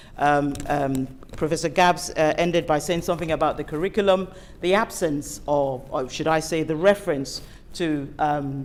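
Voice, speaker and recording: The woman's pitch is very deep and low. She talks at a moderate pace with fairly even intonation. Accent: African. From Africa. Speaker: invited speaker, healthcare professional. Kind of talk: panel presentation. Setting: event hall with audience and online stream. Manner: formal.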